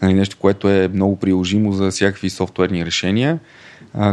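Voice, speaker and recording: A man talks at a fairly quick pace in a normal speaking voice, his pitch fairly low. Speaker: fintech co-founder and finance director. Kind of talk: interview.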